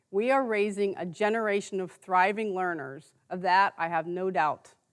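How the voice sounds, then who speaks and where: In a plain, everyday voice, a woman talks at a medium pitch. She keeps a moderate speed, and her pitch varies in an ordinary way. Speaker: nonprofit founder and CEO speaking at a fundraising event. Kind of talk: fundraising event speech to an audience. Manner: earnest, heartfelt appeal.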